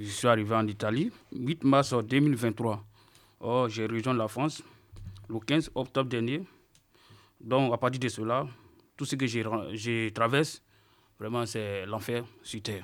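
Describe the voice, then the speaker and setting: On a very clean recording with a silent background, a man speaks at medium pitch with ordinary pitch variation. He goes at a very slow pace, with long, frequent pauses. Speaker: unaccompanied minor migrant. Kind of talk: testimony.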